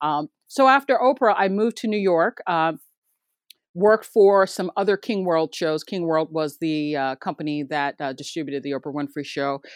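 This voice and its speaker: Against a quiet background, a woman uses a normal speaking voice with a fairly low pitch, lively intonation and a moderate pace. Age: 50s. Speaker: TV news producer. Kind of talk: interview.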